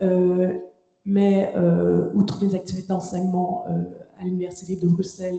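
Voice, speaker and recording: Flat, monotone delivery from a woman, medium in pitch and moderate in pace. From Quebec. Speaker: lawyer and law lecturer. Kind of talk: round-table panel talk. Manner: hesitant, many fillers.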